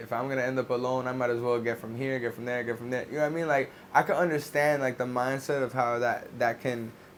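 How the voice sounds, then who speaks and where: Over noticeable background noise, a man with a medium-pitched voice talks at a fairly quick pace. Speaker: podcast host. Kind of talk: casual podcast conversation.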